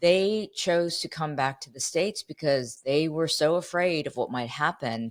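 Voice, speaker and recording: Her pitch is very deep and low, and a woman speaks with an American accent. Her intonation is lively at a fairly slow pace. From Ohio, US Midwest. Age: 50s. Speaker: journalist. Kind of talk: interview conversation. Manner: animated.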